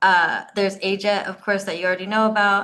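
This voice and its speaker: A woman with an American accent talks in a bright, sharp tone at a medium pitch. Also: quiet background. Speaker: career coach, JET alumna. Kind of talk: panel discussion. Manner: fast.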